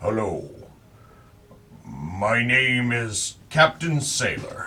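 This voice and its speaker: A man shouts loudly in a put-on character voice at medium pitch, at a very slow pace. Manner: loud, shouted.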